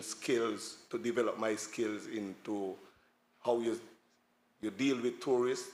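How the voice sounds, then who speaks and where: A man in a Montserratian accent, at a fairly slow pace. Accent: Montserratian Caribbean English. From Montserrat, village of Saint Patrick's. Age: 60s. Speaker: tour guide. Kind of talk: panel talk.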